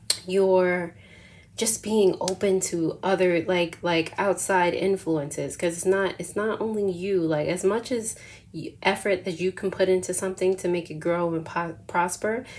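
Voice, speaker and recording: Using a plain, everyday voice, a woman talks fairly slowly at a medium pitch with fairly even intonation. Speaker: tarot reader. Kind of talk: tarot reading. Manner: casual, filler-heavy.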